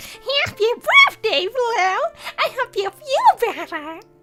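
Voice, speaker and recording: Squeaky and extremely high, a put-on character voice moves at a very slow pace. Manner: playful birthday greeting.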